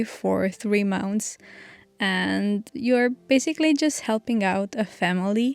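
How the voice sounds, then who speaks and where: In a Romanian accent, a woman speaks slowly-ish at medium pitch with ordinary pitch variation and a dry, close sound with no echo. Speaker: vlogger. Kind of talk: vlog narration.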